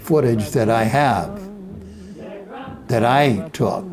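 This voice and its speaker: With lively intonation, this man talks while music plays in the background. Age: 80s+. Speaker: former army combat film photographer narrating his own wartime footage. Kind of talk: reminiscing voice-over narration of old film footage. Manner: slow, hesitant, with filler words.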